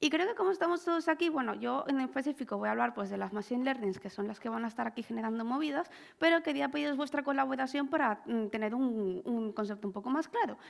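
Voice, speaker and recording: A woman's high voice at a very fast pace with hardly any pauses and lively intonation, recorded very cleanly against a silent background. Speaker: lawyer specialised in intellectual property. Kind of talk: conference talk. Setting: stage with audience.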